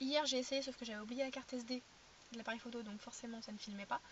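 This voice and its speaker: A woman's high-pitched voice with ordinary pitch variation, amid noticeable background noise. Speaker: vlogger. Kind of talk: casual vlog chat. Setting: in a car. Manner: fast, sometimes stuttering.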